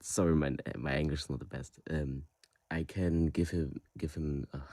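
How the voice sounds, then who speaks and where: This voice has a dark, mellow tone with a German accent. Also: man, very deep, low pitch for a man, fairly even intonation, moderate pace. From Germany. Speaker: caller. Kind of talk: call-in question. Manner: halting.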